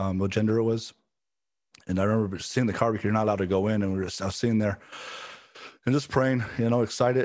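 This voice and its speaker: Music plays behind a man speaking very fast in a fairly low voice with an American accent. He leaves long, frequent pauses and keeps his intonation fairly even. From South Central Los Angeles, US, then Ireland. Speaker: church staff pastor. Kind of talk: interview, personal testimony. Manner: halting, repeats words.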